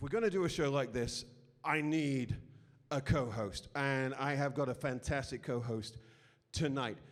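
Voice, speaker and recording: With a British accent, a man speaks at a moderate pace. His pitch is fairly high, and his loudness swings widely. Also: ordinary pitch variation. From Britain. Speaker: comedy show host. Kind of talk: stand-up hosting. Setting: stage with audience. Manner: halting.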